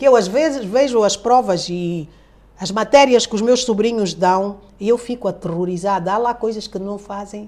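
A woman's medium-pitched voice, fairly slow, with ordinary pitch variation and noticeable background noise. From Angola. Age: 60s. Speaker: retired journalist. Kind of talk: interview conversation. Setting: at her home.

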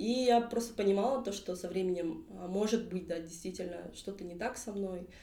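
A woman's voice with ordinary pitch variation and hardly any pauses, amid noticeable background noise. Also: medium pitch for a woman, moderate pace. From southern Kazakhstan, Kentau. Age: 20s. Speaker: queer activist, drag king. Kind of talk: casual chat. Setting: studio, face to face.

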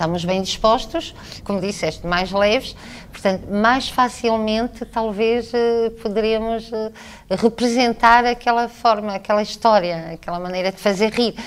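At a fairly slow pace, the clip presents an unremarkable speaking voice. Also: woman, fairly high pitch for a woman, fairly even intonation. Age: 50s. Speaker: theatre director and teacher. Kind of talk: radio interview. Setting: theatre stage backstage.

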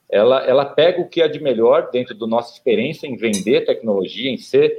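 A man is talking. His pace is fairly quick. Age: 40s. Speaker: startup founder and CEO. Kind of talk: casual interview.

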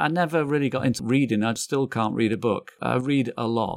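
A man with a northern English accent, a moderate pace and ordinary pitch variation, on a very clean recording with a silent background. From northern England, Manchester area. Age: 50s. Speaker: photographer and graphic designer. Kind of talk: casual chat.

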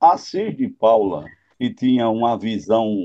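A man is speaking. His pace is very slow. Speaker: radio broadcaster. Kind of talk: interview.

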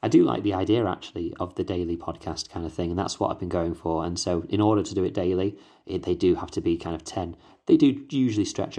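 In a British accent, a man talks very fast in a very deep, low voice with a dark, mellow tone, on a very clean recording with a silent background. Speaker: podcast host, Latter-day Saint. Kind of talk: podcast study talk. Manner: hesitant, fillers.

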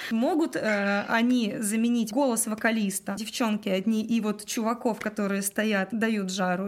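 A woman is speaking with a fairly high pitch. Her voice is somewhat breathy. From Russia, Udmurtia (Glazov). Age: 30s. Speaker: singer and cover band director. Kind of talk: casual interview chat.

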